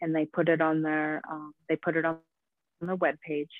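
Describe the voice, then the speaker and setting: A woman speaks with an American accent. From United States. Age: 40s. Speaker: artist. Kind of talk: interview conversation.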